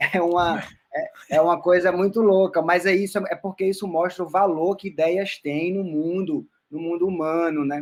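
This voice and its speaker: Fairly even intonation in a man's high voice, moderately paced. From Roraima, northern Brazil. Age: 30s. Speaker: musician and anthropologist. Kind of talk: casual interview.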